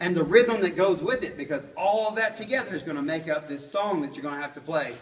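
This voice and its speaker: In a room with audible echo and noticeable background noise, a man talks at a very fast pace in a high pitch with lively intonation. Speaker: music teacher. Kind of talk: classroom lesson.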